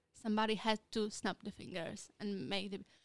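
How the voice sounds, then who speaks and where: The speaker is a woman with a Polish accent. Her pitch is medium and her pace is moderate. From Poland. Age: 20s. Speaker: podcast co-host. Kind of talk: casual chat.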